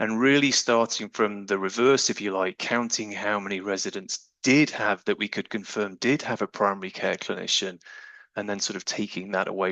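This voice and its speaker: Delivery is at a moderate pace with hardly any pauses. Intonation stays fairly even. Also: man. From UK. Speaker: family doctor and researcher. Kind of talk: presentation.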